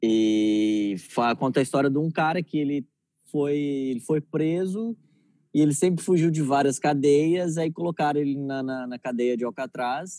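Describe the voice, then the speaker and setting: The voice belongs to a man with a dark, mellow tone, speaking at a fairly slow pace. The recording is dry and close, with no echo. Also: very clean recording, silent background. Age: 20s. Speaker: comedian. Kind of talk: casual chat.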